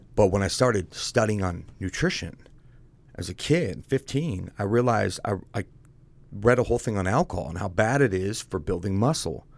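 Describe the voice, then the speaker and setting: On a very clean recording with a silent background, a man with an American accent and a fairly low pitch speaks at a moderate pace with lively intonation. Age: 30s. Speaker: fitness coach and business founder. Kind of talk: casual interview. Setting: studio. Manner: animated.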